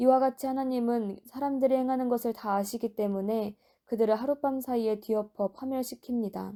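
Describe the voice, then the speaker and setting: A woman's fairly high-pitched voice with a dark, mellow tone, fairly even intonation and moderate pace, on a very clean recording against a silent background. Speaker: Bible reader. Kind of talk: reading aloud. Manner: natural, unpolished reading.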